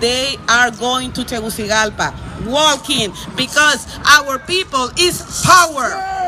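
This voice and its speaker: Shouting at a very slow pace over noticeable background noise, a woman with a Honduran accent uses a high pitch and lively intonation. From Honduras. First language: Spanish. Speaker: activist. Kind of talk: rally speech; reading aloud.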